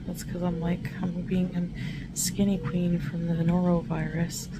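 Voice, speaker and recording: A woman speaks in a tired tone at a very slow pace. Noticeable background noise runs behind her. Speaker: vlogger. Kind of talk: casual vlog chat. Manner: weak, tired voice of someone ill. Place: home room. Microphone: phone near.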